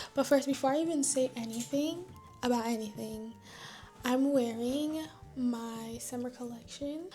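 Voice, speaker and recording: A woman whispers quietly while music plays in the background. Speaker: vlogger. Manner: quiet, near-whispering delivery; shy, scattered.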